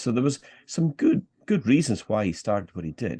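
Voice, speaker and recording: A man with a Scottish accent has a dark, mellow tone, recorded dry and close with no echo against a quiet background. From Scottish Highlands. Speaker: political activist. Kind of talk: interview.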